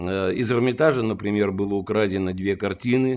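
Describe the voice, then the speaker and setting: A man at a fairly slow pace with lively intonation, a plain, everyday voice. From Russia, Saint Petersburg; Russia. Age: 60s. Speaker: lawyer and former police detective; lawyer. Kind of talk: interview. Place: home room.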